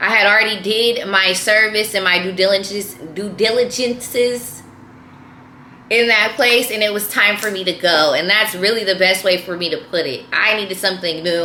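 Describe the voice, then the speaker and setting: Over noticeable background noise, a woman speaks in an animated tone at a moderate pace with ordinary pitch variation. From San Francisco Bay Area, California. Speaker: YouTuber. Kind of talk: casual vlog monologue. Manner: animated, repetitive.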